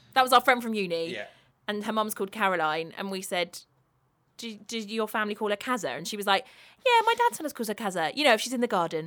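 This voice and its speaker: With a British accent, a woman talks at a very fast pace. Her pitch is fairly high, with ordinary pitch variation. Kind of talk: casual chat.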